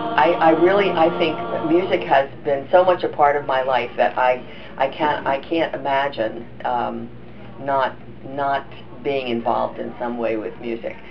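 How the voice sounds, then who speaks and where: Over noticeable background noise, a woman with a very deep, low voice speaks at a fairly slow pace with ordinary pitch variation. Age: 80s+. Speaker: high school musical director and accompanist. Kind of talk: interview answer.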